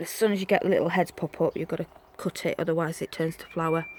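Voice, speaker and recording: A woman speaks with a Yorkshire accent. The sound is dry and close, with no echo. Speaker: gardening vlogger. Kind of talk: casual garden tour vlog. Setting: outdoors in garden. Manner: chatty, informal.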